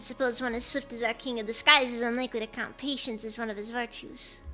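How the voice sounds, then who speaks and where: Over clear background music, a woman does a put-on character voice at a high pitch. She races along at a very fast pace in a monotone, flat delivery. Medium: virtual streamer. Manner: florid, courtly.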